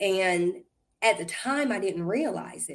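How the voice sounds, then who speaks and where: A woman with an American accent talks at a very slow pace, her intonation lively. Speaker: guest, actress. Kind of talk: casual interview conversation.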